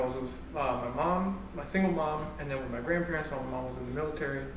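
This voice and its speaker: Here a man talks at a fairly quick pace. Noticeable background noise and audible room echo fill the recording. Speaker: church youth panelist. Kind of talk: casual panel discussion. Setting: livestream.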